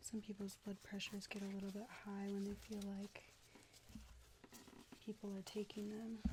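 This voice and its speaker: A woman speaks in a calm, somewhat breathy voice at medium pitch and a moderate pace, with monotone, flat intonation, very even loudness, and long, frequent pauses. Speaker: ASMR artist doing a nurse roleplay. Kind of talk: medical roleplay ASMR vital check. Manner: soft-spoken, calm.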